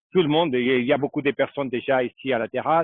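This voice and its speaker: With a Portuguese accent, a man talks at a medium pitch with fairly even intonation. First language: Portuguese (speaking French). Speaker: local tour guide. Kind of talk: live video tour on location. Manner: halting.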